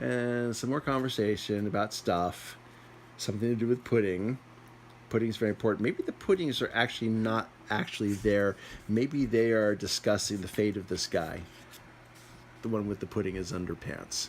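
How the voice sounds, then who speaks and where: A man talks with a plain, everyday voice at a fairly low pitch. His pace is moderate, and his pitch variation is ordinary. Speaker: amateur storyteller. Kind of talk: improvised comic manga summary. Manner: casual, playful.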